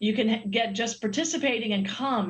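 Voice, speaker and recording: At a fairly quick pace, a woman speaks with a fairly high pitch and ordinary pitch variation. Hers is a plain, everyday voice. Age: 60s. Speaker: Olympic swimmer and sponsor representative. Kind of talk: TV interview.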